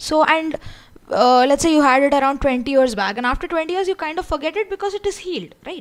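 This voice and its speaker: The delivery comes at a very fast pace. The intonation is lively. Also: woman, high pitch for a woman. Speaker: online course instructor. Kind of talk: lecture. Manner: loud. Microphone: audibility problems.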